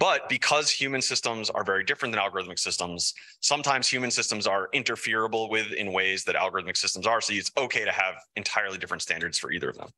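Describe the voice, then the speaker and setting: In a bright, sharp tone, a man of medium pitch speaks at a very fast pace with ordinary pitch variation. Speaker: philosophy professor. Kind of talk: research talk.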